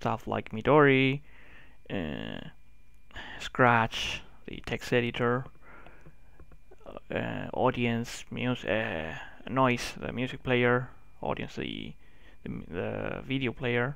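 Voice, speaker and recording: The speaker has a Spanish accent and a very slow pace. Long, frequent pauses break up the speech. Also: man. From Spain. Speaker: tech YouTuber. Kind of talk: software review tutorial. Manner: halting.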